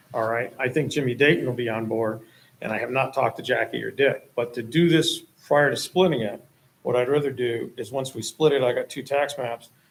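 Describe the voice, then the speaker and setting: Fairly quick and fairly even in intonation, the speech comes in a plain, everyday voice. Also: man. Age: 60s. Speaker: property owner applicant. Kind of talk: public meeting testimony. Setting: town planning board meeting.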